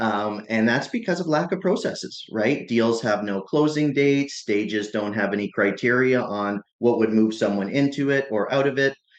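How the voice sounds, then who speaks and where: A man's plain, everyday voice at medium pitch, moderate pace and lively intonation. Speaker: chief marketing officer. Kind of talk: podcast interview answer. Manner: conversational.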